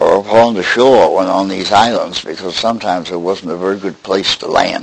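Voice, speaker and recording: Noticeable background noise sits behind a man whose intonation stays fairly even. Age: 90s. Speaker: elderly boat builder. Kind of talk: oral history interview. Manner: halting, with many fillers.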